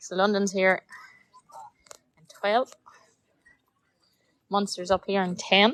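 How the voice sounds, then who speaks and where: A woman with a Northern Irish accent talks very slowly in a flat monotone, with long, frequent pauses and a dry, close sound with no echo. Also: medium pitch for a woman. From Northern Ireland, County Armagh. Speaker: road bowling live streamer and commentator. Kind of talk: live commentary.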